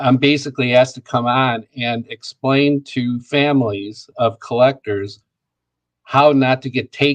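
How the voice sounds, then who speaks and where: Over a dry, close sound with no echo, a man with an American accent talks at a medium pitch. His pace is fairly slow and his intonation monotone and flat. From US Midwest, Joliet, Illinois. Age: 70s. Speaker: comic book dealer. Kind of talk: interview.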